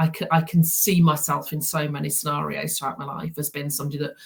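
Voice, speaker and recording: Somewhat breathy, a woman speaks with monotone, flat intonation. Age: 60s. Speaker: therapy practitioner. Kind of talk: interview. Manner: halting, many repetitions.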